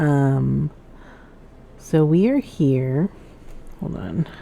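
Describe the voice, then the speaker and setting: A soft-spoken woman with a very deep, low pitch and ordinary pitch variation. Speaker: gaming streamer. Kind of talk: gameplay commentary.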